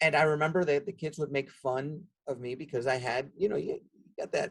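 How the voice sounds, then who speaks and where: Somewhat breathy and fairly high in pitch, a man with a Spanish accent speaks at a moderate pace. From Nicaragua (Managua), raised in the US from age six. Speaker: nonprofit executive. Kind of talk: podcast interview.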